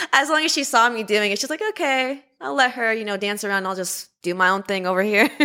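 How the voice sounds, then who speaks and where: With a Californian accent, a woman talks very fast at a fairly high pitch, with lively intonation and hardly any pauses. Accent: Californian American. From Los Angeles. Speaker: zoo student keeper. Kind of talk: interview.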